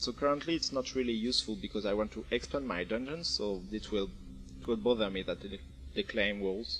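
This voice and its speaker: Music plays behind a man with a French accent whose fairly low voice moves through very wide pitch swings. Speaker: game developer. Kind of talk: video game tutorial narration. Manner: casual, hesitant.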